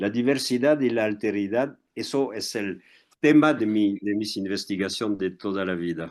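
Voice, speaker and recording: A man's fairly low voice with a French accent, moderate pace and ordinary pitch variation, over a quiet background. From France. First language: French (speaking Spanish). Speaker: historian and anthropologist. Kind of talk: interview. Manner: halting.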